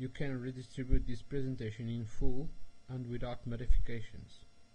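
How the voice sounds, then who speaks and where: A man talks in a medium-pitched, somewhat breathy voice with fairly even intonation. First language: Portuguese. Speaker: software developer. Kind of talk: tutorial. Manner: slow; halting.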